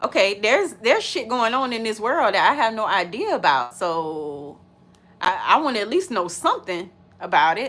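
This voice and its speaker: Loud and animated, the voice has a bright, sharp tone, very wide pitch swings and a moderate pace. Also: woman, fairly high pitch for a woman. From US, urban neighborhood. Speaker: reaction video creator. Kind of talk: casual chat, reaction video.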